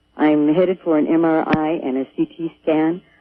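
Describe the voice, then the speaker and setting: The woman's voice is very deep and low in pitch. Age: 60s. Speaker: radio caller. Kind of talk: call-in question. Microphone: hard to hear on the line.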